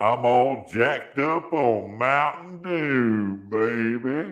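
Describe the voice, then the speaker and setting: At a very slow pace, a man puts on a character voice at medium pitch. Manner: comic, hyped-up.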